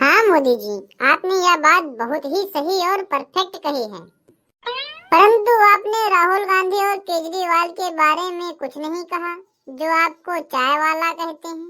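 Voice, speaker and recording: This is a cartoonish character voice, squeaky and at an extremely high pitch. It has an enthusiastic tone and moves at a fairly slow pace. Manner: polite, enthusiastic.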